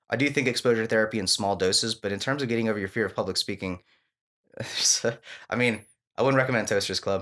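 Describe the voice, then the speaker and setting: The recording is very clean with a silent background, and a man talks at a very fast pace with long, frequent pauses. His medium-pitched voice has a bright, sharp tone and fairly even intonation. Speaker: stand-up comedian. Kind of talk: casual chat. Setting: studio.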